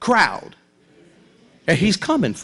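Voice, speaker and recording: A man speaks loudly at a fairly slow pace. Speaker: pastor. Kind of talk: sermon.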